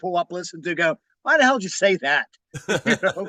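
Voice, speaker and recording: A man talks at a fairly quick pace in a raised, projected voice with a slight Pittsburgh accent. The sound is dry and close, with no echo. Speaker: magazine publisher and musician. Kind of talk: interview.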